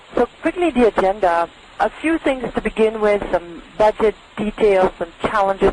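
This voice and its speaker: Noticeable background noise sits behind the voice. A woman speaks with a German accent. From Germany. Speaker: industry analyst. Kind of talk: webinar presentation.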